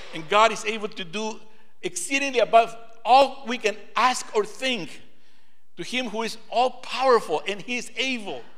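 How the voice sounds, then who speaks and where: A man's extremely high-pitched voice with ordinary pitch variation, big swings in loudness and audible room echo. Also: moderate pace. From Peru. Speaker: preacher. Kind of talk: sermon.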